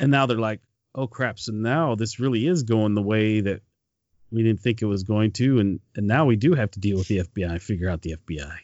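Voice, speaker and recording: A man's plain, everyday voice with an American accent, fairly low in pitch, fairly quick in pace, with ordinary pitch variation. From Michigan. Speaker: podcast host. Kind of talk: casual chat.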